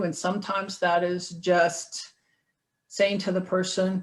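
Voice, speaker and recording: This woman has an ordinary speaking voice at medium pitch. She talks at a moderate pace. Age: 60s. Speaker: trauma advocate and trainer. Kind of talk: webinar presentation. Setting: online webinar.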